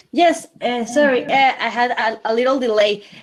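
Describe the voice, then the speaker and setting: Speaking with a Spanish accent, a woman with a high pitch talks at a fairly slow pace with ordinary pitch variation. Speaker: panelist. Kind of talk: reading out an introduction. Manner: halting.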